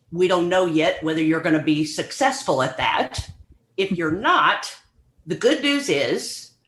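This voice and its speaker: A woman's plain, everyday voice with lively intonation, at a moderate pace. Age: 60s. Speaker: professor. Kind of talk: interview.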